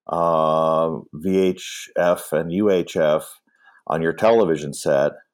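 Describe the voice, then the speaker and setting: A man speaks with a Midwestern American accent and lively intonation. The recording is very clean, with a silent background. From US Midwest, Michigan. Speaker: film historian and author. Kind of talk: interview.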